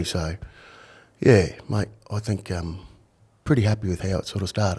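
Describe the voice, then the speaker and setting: A man with an Australian accent talks at a moderate pace. His voice is fairly low and somewhat breathy. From Australia, Brisbane (north side). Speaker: retired undercover police officer, author. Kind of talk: podcast interview.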